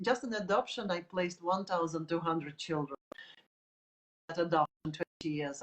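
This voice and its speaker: A woman speaks with a Russian accent. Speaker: art teacher. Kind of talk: tutorial. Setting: live video stream.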